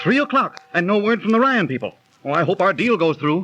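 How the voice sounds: Over faint music in the background, a man does a put-on character voice, high-pitched, bright and sharp, with big pitch swings. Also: fairly quick pace.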